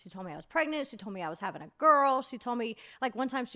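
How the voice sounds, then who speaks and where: In a raised, projected voice with an American accent, the speaker goes at a very fast pace with very wide pitch swings, on a very clean recording with a silent background. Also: woman. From US South, Georgia. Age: 30s. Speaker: reality TV personality and YouTuber. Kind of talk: casual chat. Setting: studio.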